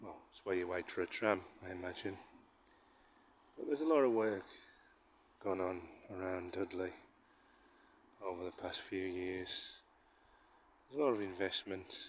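A man at a moderate pace with long, frequent pauses, ordinary pitch variation, a dry sound with no echo and light background noise. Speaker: walking vlogger. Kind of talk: casual vlog chat. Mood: relaxed, amused. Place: street. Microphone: phone near.

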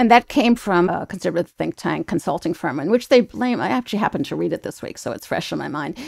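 Speaking at a very fast pace, a woman with a fairly low pitch and vocal fry swings her pitch very widely, in a dry, close sound with no echo. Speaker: health reporter. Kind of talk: news panel discussion. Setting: video call.

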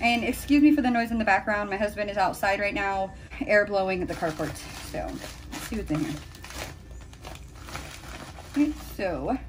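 A woman speaks at a moderate pace with lively intonation. She takes long, frequent pauses against noticeable background noise. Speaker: beauty vlogger. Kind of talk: casual vlog chat. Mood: excited, cheerful. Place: home room. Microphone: phone near.

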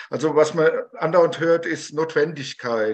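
A plain, everyday voice is heard with ordinary pitch variation. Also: man. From Germany (Taunus, Hesse); Hesse. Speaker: conductor, audience member; audience member. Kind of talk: audience question. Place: home room. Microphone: video call.

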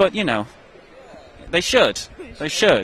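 A man speaks with a Donegal accent. The sound is dry with no echo, and there is light background noise. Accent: Donegal Irish. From Ireland, County Donegal; Ireland. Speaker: author; interviewee. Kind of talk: interview. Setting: convention. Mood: animated, humorous storytelling. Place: hall. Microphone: handheld.

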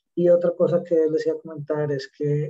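Music plays behind a man's voice. The sound is dry and close, without echo. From Colombia, Medellín. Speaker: safety professional. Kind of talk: question in online class. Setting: video call.

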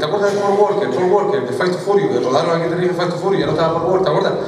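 With a Canarian accent, the voice comes through light background noise and audible room echo. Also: man. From Canary Islands. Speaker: stand-up comedian. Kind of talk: stand-up comedy monologue. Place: stage.

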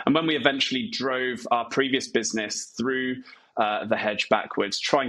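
The man's voice has a bright, sharp tone. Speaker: remote podcast guest, speaking coach. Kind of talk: interview answer. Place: home room. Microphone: earbuds.

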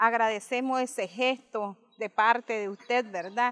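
A woman talks at a fairly slow pace. Her intonation is fairly even. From Nicaragua. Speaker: mayor. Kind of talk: interview. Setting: outdoors. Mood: proud, grateful. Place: garden. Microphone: handheld.

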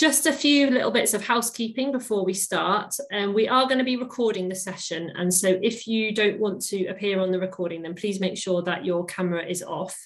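A woman at a fairly quick pace, with hardly any pauses and ordinary pitch variation. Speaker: webinar host. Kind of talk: webinar welcome and housekeeping. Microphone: video call.

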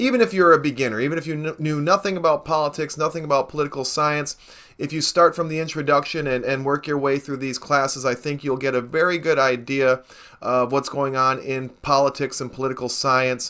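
Over a quiet background, a man speaks fairly quickly in a bright, sharp tone. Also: fairly even intonation. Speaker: political science video blogger. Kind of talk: lecture. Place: home room.

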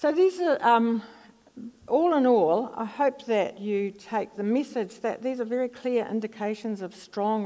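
A woman with a New Zealand accent, fairly high in pitch with ordinary pitch variation, in a dark, mellow tone at a fairly slow pace against a quiet background. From New Zealand, Palmerston North. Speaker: psychology professor. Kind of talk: lecture; audience Q&A. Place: stage.

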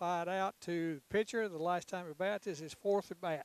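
A man with a Southern US accent speaks in a high pitch with ordinary pitch variation, the sound dry with no echo. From Tennessee. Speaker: baseball color commentator. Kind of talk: live commentary. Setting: outdoors.

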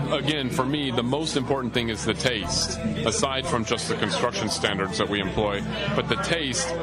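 A man speaks with ordinary pitch variation while music plays in the background. The sound is dry, with no echo. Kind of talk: interview answer. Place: bar.

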